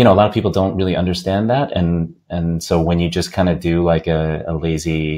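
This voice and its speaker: Speaking fairly quickly with fairly even intonation, a man with an American accent has a very deep, low pitch. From US, upstate New York. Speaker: games industry business development executive. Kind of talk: podcast interview. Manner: halting, many fillers and repeats.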